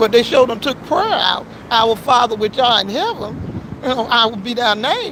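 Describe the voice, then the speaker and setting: Over noticeable background noise, a woman with a high voice speaks in an animated tone with ordinary pitch variation. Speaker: auto shop worker and livestreamer. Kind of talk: casual livestream talk, preachy. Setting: at work, outdoors. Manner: fast.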